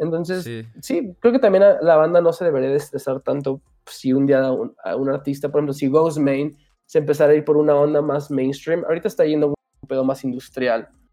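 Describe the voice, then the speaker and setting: A man with an unremarkable speaking voice talks fairly quickly at a fairly high pitch, with ordinary pitch variation. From Aguascalientes, Mexico, raised in Houston. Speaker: musician. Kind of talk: casual chat.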